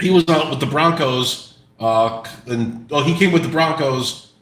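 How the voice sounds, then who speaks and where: In a recording with audible room echo, a man speaks at a very slow pace with ordinary pitch variation. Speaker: sports podcast co-host. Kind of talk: casual sports chat. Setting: live stream. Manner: halting, many repeats.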